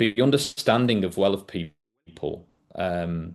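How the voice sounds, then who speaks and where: With a northwest English accent, a man speaks at a fairly low pitch with ordinary pitch variation over a quiet background. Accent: northern English (northwest England). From northwest England, between Liverpool and Manchester. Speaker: leadership and workplace safety speaker. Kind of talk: podcast talk presenting a leadership method. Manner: hesitant fillers (um, uh).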